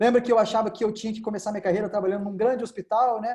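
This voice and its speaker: Speaking at a very fast pace, a man has a high-pitched voice with a dark, mellow tone. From Brazil, Volta Redonda (interior of Rio de Janeiro state). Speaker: engineer and entrepreneur. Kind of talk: lecture.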